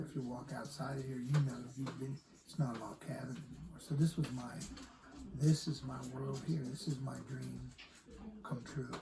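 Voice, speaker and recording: In an American accent, a man speaks at a moderate pace and medium pitch with fairly even intonation, big swings in loudness and audible room echo. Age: 70s. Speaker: Woodstock attendee. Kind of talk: interview. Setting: log cabin.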